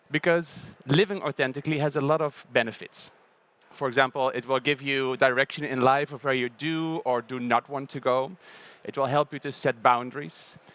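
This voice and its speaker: A man with a Dutch accent, fairly high pitch, fairly even intonation and moderate pace, on a very clean recording with a silent background and a dry, close sound with no echo. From southern Netherlands, Brabant. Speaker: panel moderator. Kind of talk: panel introduction with personal story.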